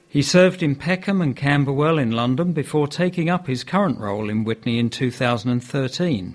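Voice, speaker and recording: At a fairly slow pace, a man speaks at a medium pitch in an ordinary speaking voice. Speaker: news reader. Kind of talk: news reading.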